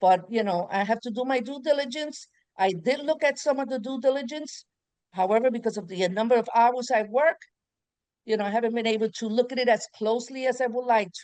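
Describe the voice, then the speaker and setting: A woman with a fairly high pitch and a normal speaking voice, at a fairly quick pace. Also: ordinary pitch variation. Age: 60s. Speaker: pediatric nurse, prospective client. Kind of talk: casual chat.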